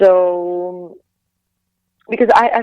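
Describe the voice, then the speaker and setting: Speech with a Latvian accent and ordinary pitch variation. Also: woman. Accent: Latvian accent, harsh. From Latvia, Riga. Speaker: singer and actress, former figure skater. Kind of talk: interview. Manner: halting, many repeated words.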